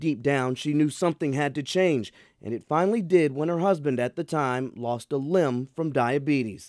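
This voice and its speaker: An ordinary speaking voice from a man with an American accent, fairly high in pitch with ordinary pitch variation, at a moderate pace, in a dry, close sound with no echo on a very clean recording with a silent background. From American, Kentucky. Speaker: news anchor and reporter. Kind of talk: news feature voiceover.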